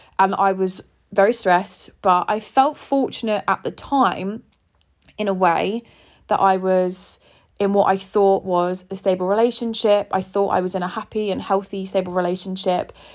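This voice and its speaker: A woman with an English accent at medium pitch and moderate pace, in a very clean recording with a silent background. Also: fairly even intonation. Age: 20s. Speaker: podcast host. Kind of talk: personal monologue.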